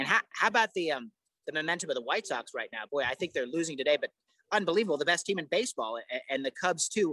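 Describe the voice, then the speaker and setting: A man with a high pitch, a bright, sharp tone and an American accent, animated and lively in intonation, at a very fast pace, in a dry, close sound with no echo. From Chicago area (Oak Park). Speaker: sports podcast host. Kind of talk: casual interview chat. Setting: casino sportsbook in Las Vegas. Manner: animated, repeats words.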